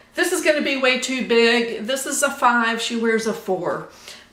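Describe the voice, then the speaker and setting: A very slow voice with an American accent, with audible room echo and noticeable background noise. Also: woman. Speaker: sewing vlogger. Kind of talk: casual chat. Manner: halting.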